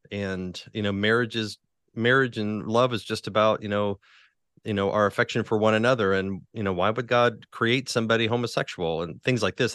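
Over a quiet background, a man with an American accent talks at a moderate pace in an unremarkable speaking voice. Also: dry, close sound with no echo. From West Virginia, Huntington. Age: 40s. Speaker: pastor and author. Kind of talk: interview.

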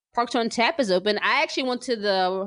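A woman speaks in an unremarkable speaking voice at a medium pitch with an American accent. Her pitch varies an ordinary amount, and the background is quiet. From New Jersey. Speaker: podcast host and sports writer. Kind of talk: casual chat.

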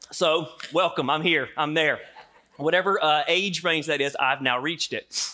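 Speaking at a moderate pace, a man uses a bright, sharp tone with fairly high pitch and fairly even intonation. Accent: Southern US. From US South. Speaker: pastor. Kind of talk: sermon.

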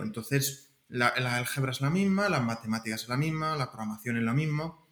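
This man talks at a moderate pace with lively intonation and a fairly high pitch. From Spain, Castilla-La Mancha (Alcázar de San Juan). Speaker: computer networking researcher. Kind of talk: interview. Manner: halting, with frequent repetitions.

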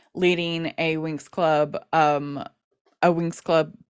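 A woman's very deep, low voice at a very slow pace, monotone and flat, dry and close with no echo in a very clean recording with a silent background. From US. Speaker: podcast host, interviewed as guest. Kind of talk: casual interview.

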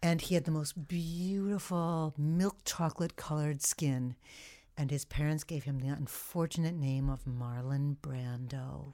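A woman's very deep, low voice with an American accent and a dark, mellow tone at a fairly slow pace, in a very clean recording with a silent background. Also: ordinary pitch variation. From New York State (Long Island). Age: 60s. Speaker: retired voice director. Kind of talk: casual chat.

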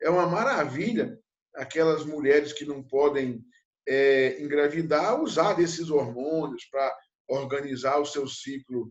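This man talks with a fairly high pitch. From Brazil, interior of Minas Gerais. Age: 50s. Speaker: animal science professor. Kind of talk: interview. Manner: halting, frequent fillers.

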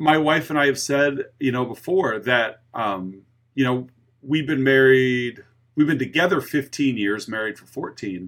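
At a fairly slow pace, a man with medium pitch talks in an unremarkable speaking voice. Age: 40s. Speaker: podcast host and teacher. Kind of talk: casual chat.

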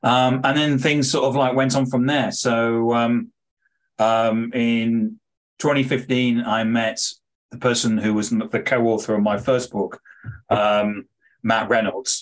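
Very slowly, a man speaks in a British accent at a medium pitch. His loudness stays very even and his intonation fairly even. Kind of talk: interview. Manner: hesitant, disfluent.

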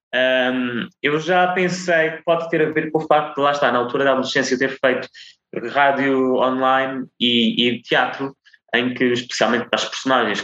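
A man's tone is bright and sharp. He speaks at a moderate pace with ordinary pitch variation. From Azores, São Miguel. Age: 20s. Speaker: TV reporter. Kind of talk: interview.

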